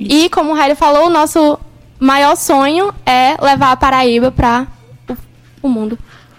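With noticeable background noise behind her, a woman with a high pitch speaks at a fairly slow pace with ordinary pitch variation and long, frequent pauses. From sertão of Pernambuco, Brazil. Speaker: university student, junior company member. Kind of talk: radio interview.

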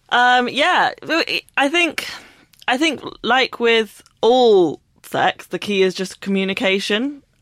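Speaking very slowly with long, frequent pauses, a woman with a London accent uses a high pitch. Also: lively intonation. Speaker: author. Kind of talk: casual chat.

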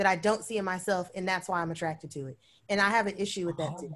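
Ordinary pitch variation in a woman's medium-pitched voice, the recording very clean and the background silent. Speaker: plant business owner. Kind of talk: casual chat. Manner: casual, same style everywhere.

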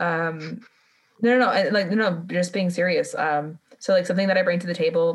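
A woman talks in a fairly low pitch with ordinary pitch variation. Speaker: podcast co-host. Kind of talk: casual chat. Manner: animated.

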